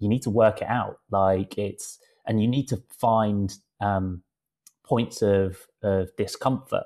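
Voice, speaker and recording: Over a quiet background, a man speaks very slowly in a medium pitch with a dark, mellow tone. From England, West Country. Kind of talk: casual chat.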